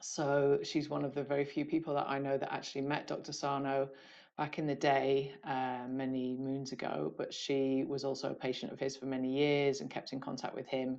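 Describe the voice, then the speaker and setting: A woman with a British accent, very deep and low in pitch, monotone and flat in intonation, at a moderate pace over a quiet background. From UK. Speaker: podcast host. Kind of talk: interview intro. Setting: video call.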